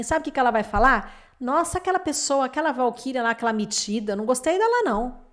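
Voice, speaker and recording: On a very clean recording with a silent background, the words move at a moderate pace. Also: woman. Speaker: lawyer and relationship coach. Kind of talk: lecture.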